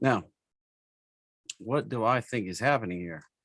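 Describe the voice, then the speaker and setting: A man speaks with an East Tennessee accent. His intonation is lively and his pace moderate. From US South, East Tennessee. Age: 40s. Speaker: stock trading educator. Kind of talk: live webinar tutorial. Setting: live stream webinar with screen share. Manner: casual, with many fillers.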